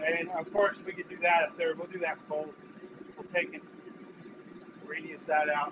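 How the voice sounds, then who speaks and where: A man with a high pitch talks in a monotone, flat intonation at a moderate pace, with noticeable background noise behind him. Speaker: blacksmith. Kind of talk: live demonstration. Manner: loud; casual.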